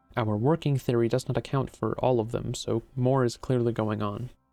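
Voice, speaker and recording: With music in the background, a man talks at a fairly quick pace in a medium pitch with fairly even intonation. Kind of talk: video essay narration.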